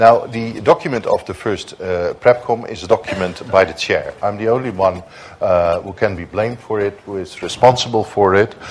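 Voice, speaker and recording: A man with a fairly low voice speaks at a moderate pace with ordinary pitch variation and big swings in loudness over noticeable background noise. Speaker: diplomat, conference panelist. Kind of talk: conference panel speech. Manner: hesitant, many fillers.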